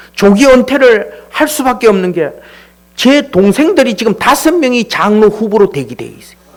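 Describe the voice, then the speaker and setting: With lively intonation and an extremely high pitch, a man talks at a moderate pace against noticeable background noise. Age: 60s. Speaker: church elder. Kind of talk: testimony. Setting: church. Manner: casual, conversational.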